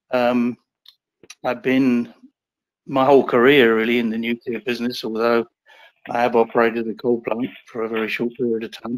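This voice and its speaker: A man's monotone, flat delivery broken by long, frequent pauses. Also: medium pitch for a man, moderate pace, dry, close sound with no echo. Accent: English. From England. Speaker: nuclear engineer and uranium investor. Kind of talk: interview. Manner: hesitant, many fillers.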